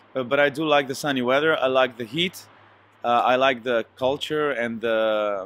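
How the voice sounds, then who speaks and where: A man with a Slovenian accent talks at a medium pitch. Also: ordinary pitch variation, moderate pace. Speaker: singer. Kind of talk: interview. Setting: hotel. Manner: hesitant, many fillers.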